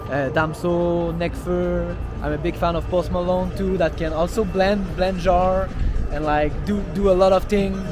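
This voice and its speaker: A man speaks at a fairly slow pace in a Quebec accent, with music in the background and audible room echo. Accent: Québécois French accent in English. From Montreal, Quebec. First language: French. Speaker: rapper. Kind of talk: interview. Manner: halting.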